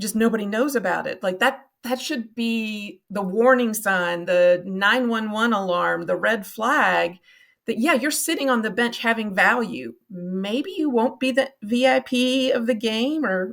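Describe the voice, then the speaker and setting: In a Kentucky accent, the speaker talks fairly slowly with ordinary pitch variation and hardly any pauses on a very clean recording with a silent background. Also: woman, fairly high pitch for a woman. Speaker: nonprofit marketing consultant. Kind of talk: podcast interview.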